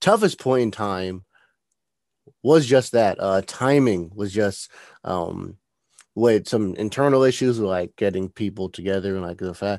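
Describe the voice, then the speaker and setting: An unremarkable speaking voice belongs to a man with an American accent who talks at a fairly low pitch and a fairly slow pace with lively intonation. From New Jersey. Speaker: bioengineering student. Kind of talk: interview.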